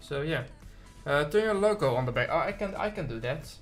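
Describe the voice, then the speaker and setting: A man with a strong Dutch accent talks at a fairly quick pace with lively intonation. Music plays in the background, and the room echo is audible. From Netherlands. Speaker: gaming streamer. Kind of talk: live stream commentary. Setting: live stream with camera. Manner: casual, filler-heavy.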